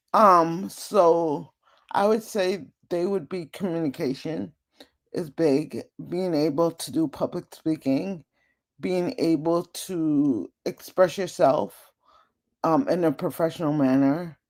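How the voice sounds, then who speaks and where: Speech comes at a very slow pace with long, frequent pauses. The recording is very clean, with a silent background. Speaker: data professional. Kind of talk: interview.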